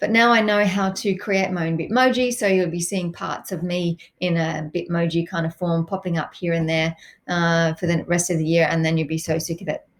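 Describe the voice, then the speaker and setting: A woman with an Australian accent speaks at a fairly quick pace in a fairly low voice, her intonation fairly even, on a very clean recording with a silent background. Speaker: science teacher. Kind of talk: recorded lesson. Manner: hesitant, many fillers.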